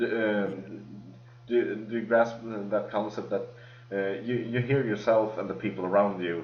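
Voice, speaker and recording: Delivered at a moderate pace in a strong Swedish accent, the speech has fairly even intonation and audible room echo. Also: man. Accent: heavy Swedish. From Sweden. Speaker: podcast host. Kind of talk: casual chat. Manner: halting.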